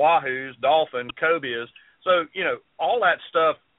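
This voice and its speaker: A speaker with a Southern US accent. The pace is moderate. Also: man. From South Carolina. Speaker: fishing TV show host. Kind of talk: casual interview chat.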